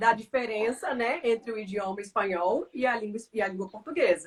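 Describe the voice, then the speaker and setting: A woman speaks in an unremarkable speaking voice. Her pitch sits fairly high. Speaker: language teacher. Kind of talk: casual chat.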